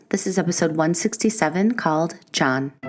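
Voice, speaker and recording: Music plays in the background as a woman talks at a fairly quick pace, with a fairly low pitch and ordinary pitch variation. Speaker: podcast host. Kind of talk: podcast intro.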